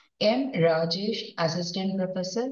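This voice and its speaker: Room echo is audible as the woman talks at a moderate pace. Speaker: conference host. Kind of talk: formal event introduction. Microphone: headset.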